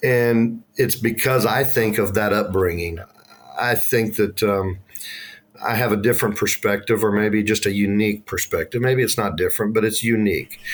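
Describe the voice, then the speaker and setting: Speaking at a moderate pace, a man with a fairly low voice keeps very even loudness and fairly even intonation. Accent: Texan. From Texas, north of Dallas-Fort Worth. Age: 50s. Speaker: school transportation director. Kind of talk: podcast interview. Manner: halting, many fillers and repeats.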